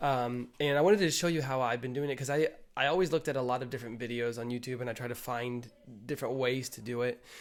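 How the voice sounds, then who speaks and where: Very fast speech comes from a man at medium pitch. His intonation stays fairly even. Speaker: marketing agency owner / YouTuber. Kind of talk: tutorial. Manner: hesitant, many fillers.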